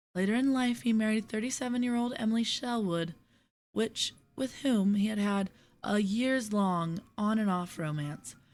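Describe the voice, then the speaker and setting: A soft-spoken woman with a fairly high pitch and ordinary pitch variation, at a moderate pace, in a very clean recording with a silent background. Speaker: poetry reader. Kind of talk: casual commentary.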